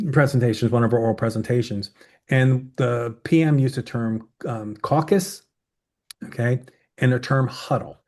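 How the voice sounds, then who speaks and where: Against a quiet background, a man speaks at a medium pitch in a somewhat breathy voice. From Southern Maryland, US. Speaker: oral presentation coach. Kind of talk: webinar presentation with Q&A. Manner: fast.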